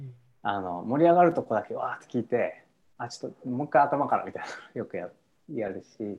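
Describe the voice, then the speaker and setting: The man's medium-pitched voice moves at a fairly quick pace with lively intonation and big swings in loudness. Long pauses come often. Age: 30s. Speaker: musician. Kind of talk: casual chat. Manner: halting, many fillers.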